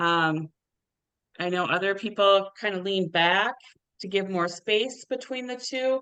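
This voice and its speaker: A woman speaks loudly at a fairly slow pace, at a medium pitch with ordinary variation. Her tone is bright and sharp, with long, frequent pauses. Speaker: tennis official and webinar moderator. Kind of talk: Q&A moderation.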